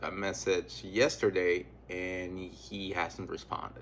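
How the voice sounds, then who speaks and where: The voice has a bright, sharp tone and a non-native accent. The pace is very slow. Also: man. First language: not English. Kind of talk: casual talk to camera.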